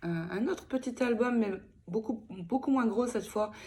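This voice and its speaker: A woman talks at a fairly slow pace, her voice somewhat breathy. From France (Picardie). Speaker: scrapbooking YouTuber. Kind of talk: casual vlog announcement. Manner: halting, many fillers.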